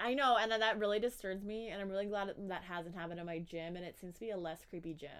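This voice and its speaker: Animated tone at a very fast pace, with hardly any pauses, ordinary pitch variation and big swings in loudness. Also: woman, medium pitch for a woman. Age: 20s. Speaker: podcast co-host. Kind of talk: casual chat.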